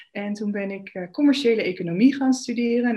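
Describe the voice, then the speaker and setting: A woman speaks in a plain, everyday voice at a moderate pace, with ordinary pitch variation over a quiet background. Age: 30s. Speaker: spiritual coach and yoga teacher. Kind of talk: interview.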